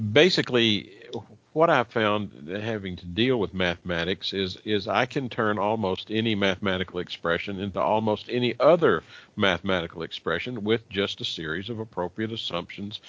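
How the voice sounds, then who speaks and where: A man's ordinary speaking voice, fairly low in pitch, with ordinary pitch variation and a fairly quick pace. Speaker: church elder and co-host. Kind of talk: live radio Bible discussion.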